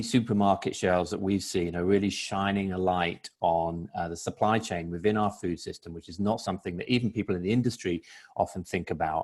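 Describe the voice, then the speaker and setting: Fairly low in pitch, a man with a British accent talks at a moderate pace with fairly even intonation. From Britain. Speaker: food industry panelist. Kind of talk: webinar panel discussion.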